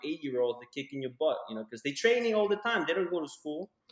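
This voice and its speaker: Against noticeable background noise, a man with an American accent talks at a very fast pace with lively intonation. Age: 30s. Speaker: podcast co-host. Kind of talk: casual chat. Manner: animated. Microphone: echo in room.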